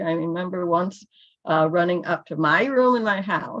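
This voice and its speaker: A woman with a Midwestern accent talks with ordinary pitch variation. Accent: American Midwest. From US Midwest, Illinois. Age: 60s. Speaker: church member giving testimony. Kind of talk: testimony. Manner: halting.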